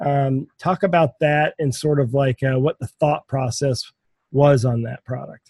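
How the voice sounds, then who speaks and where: Fairly high in pitch, a man speaks fairly slowly and somewhat breathily. His intonation is fairly even, and the sound is dry and close with no echo. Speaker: podcast host. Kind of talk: casual interview chat.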